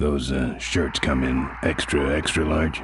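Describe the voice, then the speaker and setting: Putting on a character voice, a man speaks at a fairly slow pace with a very deep, low pitch and monotone, flat intonation. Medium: game stream. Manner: terse, deadpan.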